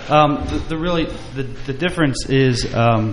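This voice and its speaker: A man with an American accent speaks at a moderate pace with fairly even intonation. Audible room echo and noticeable background noise surround the voice. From New Jersey. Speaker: distillery owner. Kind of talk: casual chat.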